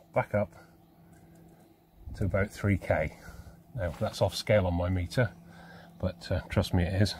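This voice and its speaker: Over light background noise, a man with a very deep, low pitch speaks somewhat breathily at a moderate pace, leaving long, frequent pauses, in a dry sound with no echo. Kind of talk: tutorial. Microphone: phone near.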